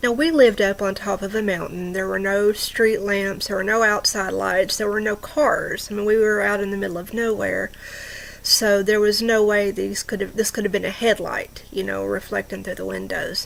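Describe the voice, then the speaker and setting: A woman keeps a moderate pace while noticeable background noise carries on. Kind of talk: true ghost story told to camera. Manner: conversational, with hesitations.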